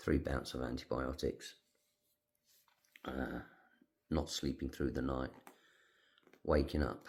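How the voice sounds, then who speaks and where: Using a British accent, a man with a very deep, low pitch and vocal fry speaks at a moderate pace with fairly even intonation. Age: 60s. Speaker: retired navy veteran with emphysema. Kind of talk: personal vlog.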